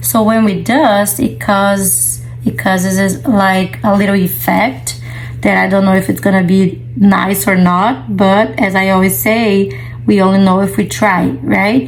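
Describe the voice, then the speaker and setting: A woman with a non-native accent speaks at a fairly slow pace and very even loudness, with noticeable background noise and audible room echo. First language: not English. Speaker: resin artist. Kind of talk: tutorial. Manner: casual.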